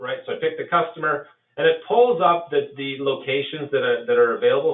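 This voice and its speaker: Fairly quick speech with a Canadian accent. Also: man. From Canada. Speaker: software presenter. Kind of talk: software demo webinar. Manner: casual, with filler words.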